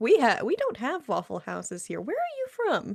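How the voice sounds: A woman speaks at a moderate pace with vocal fry, fairly high in pitch, her pitch swinging very widely. Her tone is slightly mellow with a slightly husky edge.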